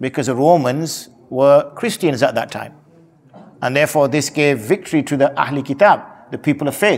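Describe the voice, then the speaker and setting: Someone speaks at a moderate pace in a Yorkshire accent. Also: man. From Yorkshire, northern England. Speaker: Islamic scholar, mufti. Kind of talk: religious talk.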